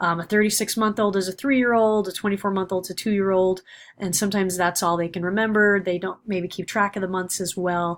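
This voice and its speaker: Very fast and monotone, a woman speaks with flat intonation. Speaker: university lecturer. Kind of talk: recorded lecture. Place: home room. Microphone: webcam.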